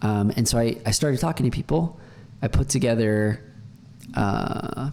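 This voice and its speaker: Moderate pace, ordinary pitch variation, and very even loudness. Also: man, medium pitch for a man. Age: 20s. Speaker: software developer. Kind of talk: casual screen-share explainer. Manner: hesitant, many fillers and repeats.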